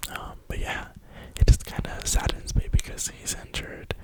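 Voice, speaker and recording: Whispering at a moderate pace with an American accent, amid noticeable background noise. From New York (Brooklyn). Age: 20s. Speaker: ASMR creator. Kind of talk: whisper ramble.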